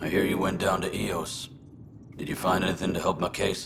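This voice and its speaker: Putting on a raspy character voice, a man speaks very deep and low at a fairly quick pace over clear background noise. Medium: cartoon.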